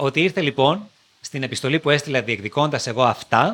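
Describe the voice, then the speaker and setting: His voice sits fairly high. The man talks at a fairly quick pace. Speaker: TV presenter. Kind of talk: interview. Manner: articulate.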